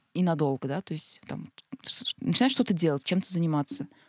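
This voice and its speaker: On a very clean recording with a silent background, a woman's fairly low voice comes across dry and close with no echo. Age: 30s. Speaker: unemployed marketer, podcast guest. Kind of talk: casual discussion. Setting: studio.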